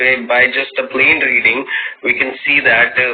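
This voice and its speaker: A man's voice at a moderate pace, with noticeable background noise. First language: not English. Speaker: caller asking questions. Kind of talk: live debate. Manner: halting, many fillers.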